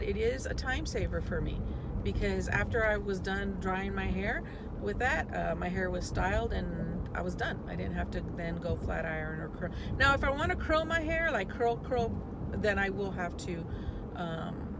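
Loud background noise sits under speech at a moderate pace, and the sound is dry with no echo. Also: woman. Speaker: vlogger. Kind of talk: casual vlog chat. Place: car. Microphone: phone near.

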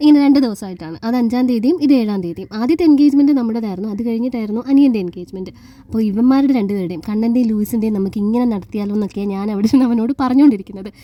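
A quiet woman's voice, fairly high in pitch, over noticeable background noise. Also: ordinary pitch variation. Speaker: vlogger. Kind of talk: vlog narration. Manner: quiet, cannot speak louder.

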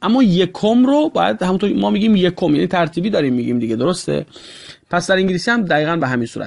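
Talking very fast, a man with a high voice swings his pitch very widely. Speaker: English teacher. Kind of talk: tutorial.

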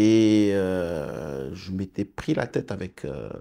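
A man speaks with a very deep, low pitch and a dark, mellow tone. The background is quiet. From Senegal, raised in India, Malaysia and Australia, then Morocco. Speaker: business executive; interview guest. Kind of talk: interview. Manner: halting, frequent hesitations. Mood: calm, reflective. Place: studio. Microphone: lapel.

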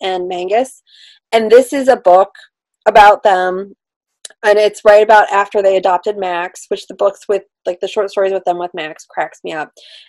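A moderate pace over a quiet background. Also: woman. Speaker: book reviewer co-host. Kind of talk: casual chat, book review. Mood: enthusiastic, light laughter. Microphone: video call.

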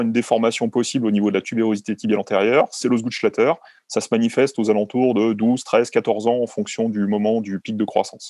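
This man speaks at a fairly quick pace with flat, monotone intonation and a dark, mellow tone, in a dry sound with no echo against a quiet background. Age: 40s. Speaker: sports doctor; guest. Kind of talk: interview; interview answer. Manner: halting, many fillers. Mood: calm, explanatory. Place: home room. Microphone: video call.

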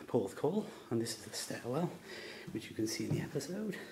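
A man talks over light background noise. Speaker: fan filming a location tour. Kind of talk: location walkthrough video tour. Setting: indoors, hotel. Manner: whispered. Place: hall. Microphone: phone near.

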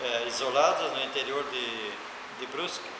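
A man speaks at a moderate pace. Audible room echo and noticeable background noise surround his voice. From Santa Catarina, Brazil (Brusque). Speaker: retired teacher. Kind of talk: oral history interview. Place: classroom. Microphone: camera far.

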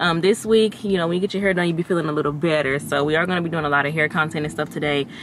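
At a very fast pace, a woman speaks with low pitch and fairly even intonation.

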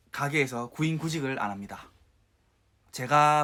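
The tone is bright and sharp at a fairly slow pace, on a very clean recording with a silent background. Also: man. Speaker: YouTuber. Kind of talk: casual vlog commentary.

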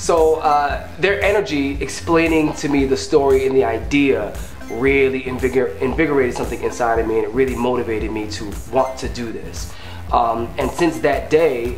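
A man talks at a moderate pace in a room with audible echo, with faint music in the background. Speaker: web series actor. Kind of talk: behind-the-scenes interview talk. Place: kitchen.

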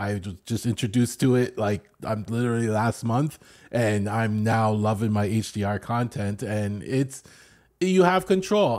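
A man with a Canadian accent speaks in a plain, everyday voice, medium in pitch with ordinary variation, at a fairly slow pace. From Canada. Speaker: podcast co-host. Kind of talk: casual chat.

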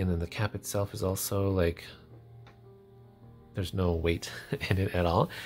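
A man's very deep, low voice over music in the background. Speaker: fountain pen reviewer. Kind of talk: casual review talk to camera. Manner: chatty, hesitant.

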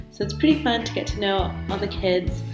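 Clear music plays in the background as a voice with an American accent speaks at a moderate pace. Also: woman. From Dallas, Texas. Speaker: English teacher in China. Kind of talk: casual talk to camera. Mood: cheerful, upbeat. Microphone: webcam.

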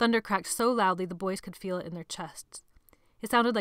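The clip consists of plain reading aloud.

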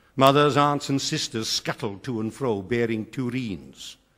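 Against a quiet background, a man with a Welsh accent speaks in lively intonation. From South Wales. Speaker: retired schoolteacher. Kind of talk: poetry reading. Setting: theatre stage. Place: stage.

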